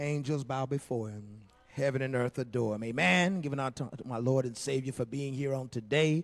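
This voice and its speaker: At a fairly quick pace, the pitch varies in an ordinary way. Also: man. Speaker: pastor. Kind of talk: sermon. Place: church. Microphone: handheld.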